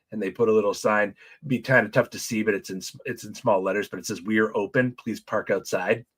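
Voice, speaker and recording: A man with an ordinary speaking voice and fairly low pitch talks at a fairly quick pace on a very clean recording with a silent background. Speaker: church small group leader. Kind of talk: casual livestream talk. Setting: livestream.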